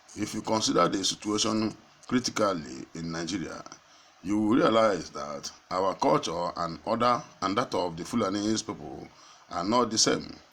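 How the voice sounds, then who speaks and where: A man with a normal speaking voice, fairly low in pitch, at a moderate pace with lively intonation. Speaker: online news presenter. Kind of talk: news reading.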